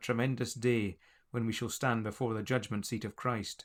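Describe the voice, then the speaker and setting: In an ordinary speaking voice, a man talks at a fairly quick pace and medium pitch on a very clean recording with a silent background. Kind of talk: audiobook reading of a religious text.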